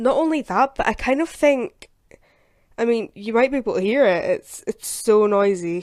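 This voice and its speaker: A woman speaks with a Scottish accent at a moderate pace with lively intonation. The recording is very clean, with a silent background. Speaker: gaming YouTuber. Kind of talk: video game commentary. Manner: casual, chatty with fillers.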